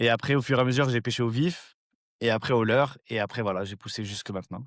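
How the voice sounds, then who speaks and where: Against a quiet background, a man speaks very fast at a medium pitch with ordinary pitch variation. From Brittany, Rennes. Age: 40s. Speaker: fishing youtuber. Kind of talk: interview.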